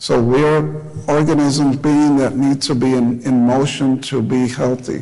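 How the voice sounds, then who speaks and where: A man at medium pitch, fairly slow and fairly even in intonation, with audible room echo. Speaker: doctor. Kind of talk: lecture.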